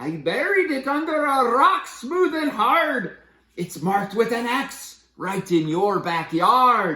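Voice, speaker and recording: Fairly high-pitched put-on character voice with very wide pitch swings at a fairly slow pace. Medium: read story. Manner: giggly, sly.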